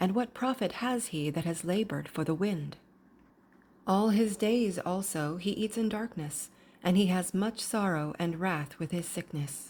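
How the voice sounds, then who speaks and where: With a normal speaking voice at medium pitch, a woman talks at a fairly slow pace with ordinary pitch variation on a very clean recording with a silent background. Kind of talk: scripture reading.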